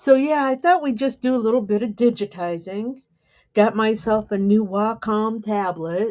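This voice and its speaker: The speaker has an ordinary speaking voice and talks at a moderate pace. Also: woman, fairly high pitch for a woman, ordinary pitch variation. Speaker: embroidery digitizing teacher. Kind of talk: live tutorial chat. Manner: casual, meandering.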